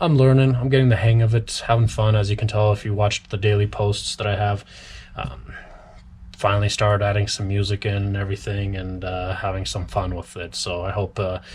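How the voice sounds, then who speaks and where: Against noticeable background noise, a man with a fairly low pitch talks at a fairly quick pace with fairly even intonation. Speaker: cobbler. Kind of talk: tutorial. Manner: talkative, casual.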